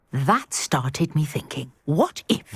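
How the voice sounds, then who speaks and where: A put-on, growling character voice at middle pitch and a fairly slow pace. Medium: video game.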